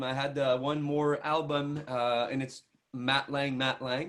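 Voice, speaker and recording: With a strong Quebec accent, a man speaks at a fairly high pitch. His intonation is fairly even. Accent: thick French Canadian. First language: French. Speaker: country singer. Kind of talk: interview. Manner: halting, many repetitions and fillers.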